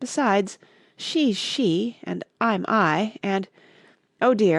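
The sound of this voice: An unforced reading voice with lively intonation comes through over a quiet background.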